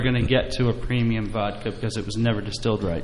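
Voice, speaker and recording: A man with an American accent rattles along at a very fast pace in a medium pitch and monotone, flat intonation, with audible room echo and noticeable background noise. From New Jersey. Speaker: distillery owner. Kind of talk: casual chat.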